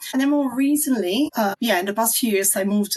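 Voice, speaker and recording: A woman is speaking. She talks with an Italian accent. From southern Italy. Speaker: marketing strategist. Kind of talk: online video interview.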